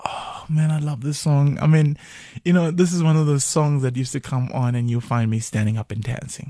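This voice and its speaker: A fairly high-pitched male voice in a Zulu accent, dark and mellow in tone and somewhat breathy, with ordinary pitch variation and a fairly quick pace. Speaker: musician. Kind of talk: radio interview. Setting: radio studio.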